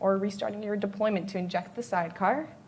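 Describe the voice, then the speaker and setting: Fairly quick speech with audible room echo. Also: woman. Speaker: developer relations engineer, conference speaker. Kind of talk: conference talk.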